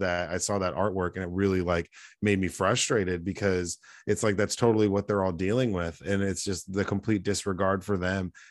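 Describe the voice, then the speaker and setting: Over a quiet background, a man with an American accent talks at a fairly quick pace in a very deep, low pitch with fairly even intonation. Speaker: podcast co-host. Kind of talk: casual chat. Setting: video call.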